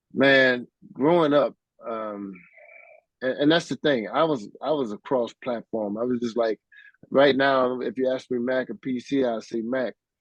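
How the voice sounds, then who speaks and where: A man with an American accent talks at a fairly slow pace and a medium pitch. His pitch varies in an ordinary way, with a dry, close sound and no echo. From US, small town. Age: 60s. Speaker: keyboardist. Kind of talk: interview. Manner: casual, halting with fillers.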